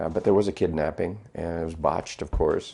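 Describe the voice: This man has a North Dakota accent and a very deep, low pitch with a dark, mellow tone. He speaks at a moderate pace with ordinary pitch variation.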